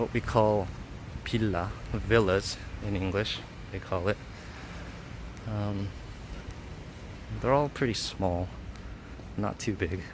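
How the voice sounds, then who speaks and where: Very slowly, with long, frequent pauses, a man in an American accent speaks at a fairly low pitch with ordinary pitch variation. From US, Los Angeles. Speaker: vlogger. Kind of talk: live stream city walk. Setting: outdoors. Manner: casual, hesitant with fillers.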